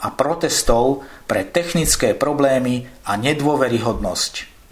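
A man talks at a fairly slow pace and medium pitch. His pitch variation is ordinary, with noticeable background noise behind him. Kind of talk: formal news reading. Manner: formal; measured, steady, neutral delivery.

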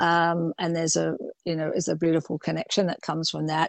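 A woman with an unremarkable speaking voice, fairly low in pitch, at a moderate pace. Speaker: fashion designer. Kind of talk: interview.

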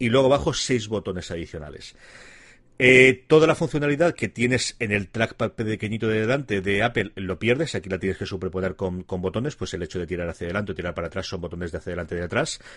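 This man speaks very fast. His voice sits fairly low. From Alicante, Spain. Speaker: tech podcast co-host. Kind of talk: casual chat.

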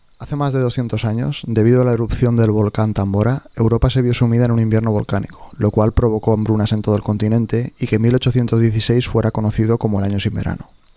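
A man with a medium-pitched, dark, mellow voice speaks in a monotone, flat way with hardly any pauses. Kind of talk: dramatic narration of a gothic tale, promo. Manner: solemn, suspenseful, measured; formal, storytelling cadence.

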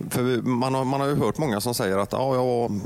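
Noticeable background noise runs under a man speaking at a fairly quick pace. His pitch is medium, with ordinary variation. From Gothenburg. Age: 40s. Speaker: radio host. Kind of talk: casual chat.

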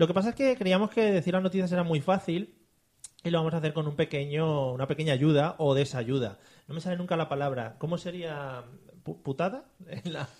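In a very clean recording with a silent background, a man speaks in a fairly high pitch with an animated tone and ordinary pitch variation. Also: fairly quick pace. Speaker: podcast host. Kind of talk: casual comedy chat; mock news reading.

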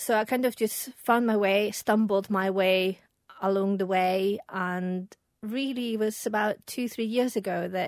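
An unremarkable speaking voice from a woman, medium in pitch, fairly slow, with fairly even intonation. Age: 40s. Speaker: perfumer and small business founder. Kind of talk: casual interview.

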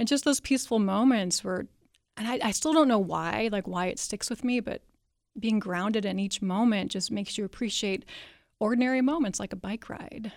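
An unremarkable speaking voice from a woman, fairly high in pitch, at a moderate pace with ordinary pitch variation. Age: 40s. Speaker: author. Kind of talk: interview. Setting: studio.

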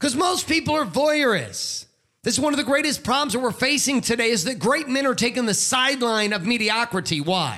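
On a very clean recording with a silent background, a man speaks at a moderate pace in a raised, projected voice that is extremely high, bright and sharp, with very wide pitch swings. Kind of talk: pep talk. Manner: fired-up, emphatic, urgent exhortation.

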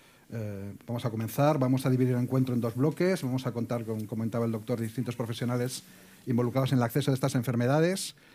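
The voice has a dark, mellow tone and fairly even intonation, moving at a very fast pace in a very clean recording with a silent background. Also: man, medium pitch for a man. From Torrejón, Madrid region, Spain. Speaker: health journalist, moderator. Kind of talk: moderated panel discussion.

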